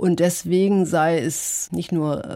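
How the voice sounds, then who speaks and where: Her intonation fairly even, a woman talks with a very deep, low pitch. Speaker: scientist. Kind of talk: interview.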